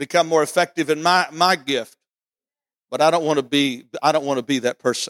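An animated, fairly high-pitched man talking fairly quickly with ordinary pitch variation, in a dry, close sound with no echo. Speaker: pastor. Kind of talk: sermon. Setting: church. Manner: animated, emphatic preacher; repeats phrases for emphasis, seeks congregation's 'Amen'.

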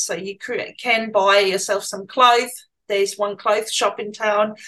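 Her tone bright and sharp, a woman speaks at a fairly slow pace and a medium pitch in a monotone, flat intonation. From Germany. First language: German. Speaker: small-town resident and business owner. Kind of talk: interview. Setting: video call.

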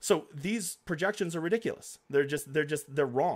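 Energetic man's voice at a fairly high pitch with very wide pitch swings and a fairly quick pace, on a very clean recording with a silent background. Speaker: DFS golf content creator. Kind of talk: livestream. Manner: fast talker; casual, energetic.

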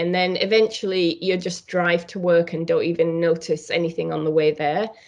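A woman speaks with a British accent at a fairly low pitch. Her delivery is monotone and flat, at a moderate pace with hardly any pauses. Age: 50s. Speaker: painter and art teacher. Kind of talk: interview.

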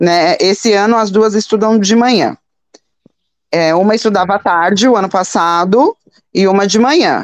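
Her pitch sits in the medium range. The woman's pitch moves in an ordinary way. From São Paulo, Brazil. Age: 40s. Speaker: entrepreneur and mother. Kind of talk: interview. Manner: halting.

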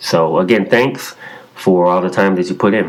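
A man with an American accent talks in a very deep, low pitch. Noticeable background noise sits behind him. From Chicago. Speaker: caller leaving voicemail question. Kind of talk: recorded voicemail question. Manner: halting, many fillers.

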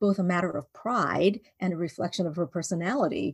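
A woman speaks at a fairly quick pace in a fairly low, somewhat breathy voice. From Vancouver, Canada. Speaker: children's book author. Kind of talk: interview. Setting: video call.

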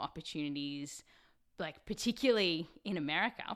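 The voice has a bright, sharp tone and an Australian accent, at a moderate pace. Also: woman. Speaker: science podcast host. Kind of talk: casual interview. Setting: remote recorded call.

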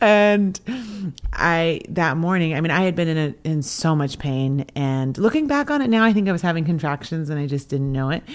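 Speaking at a moderate pace in an American accent, a woman with a plain, everyday voice keeps a fairly low pitch and ordinary pitch variation. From US Pacific Northwest, coastal Washington. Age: 30s. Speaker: podcast co-host, photographer. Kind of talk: casual chat.

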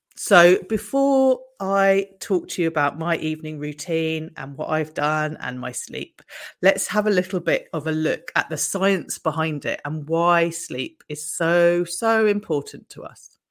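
In a plain, everyday voice, a woman with a fairly low pitch talks at a fairly slow pace with lively intonation and big swings in loudness, in a very clean recording with a silent background. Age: 50s. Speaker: wellness podcaster and coach. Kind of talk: casual solo talk. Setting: video recording.

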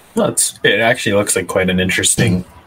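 A man with a Canadian accent is heard against noticeable background noise. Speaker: podcast host and lawn bowler. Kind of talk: casual chat. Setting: live stream.

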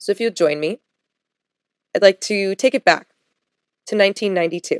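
Heard in a dry, close sound with no echo, the voice moves at a fairly slow pace with ordinary pitch variation. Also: woman. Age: 30s. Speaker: podcast host and yoga instructor. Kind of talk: solo podcast monologue.

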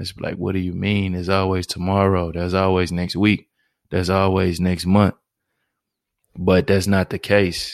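On a very clean recording with a silent background, a man speaks in a very deep, low, monotone voice with flat intonation. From Houston, Texas (Fifth Ward). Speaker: podcast host. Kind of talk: solo introductory podcast monologue. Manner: monotone, laid-back.

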